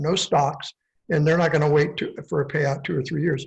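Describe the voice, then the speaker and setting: Somewhat breathy, a man with a fairly high pitch rushes along at a very fast pace with fairly even intonation. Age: 70s. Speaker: fire survivor, town resident. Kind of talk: panel Q&A discussion.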